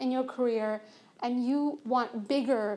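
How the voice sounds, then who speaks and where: In a very clean recording with a silent background, a woman speaks at a high pitch. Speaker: engineer and conference speaker. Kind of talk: conference talk.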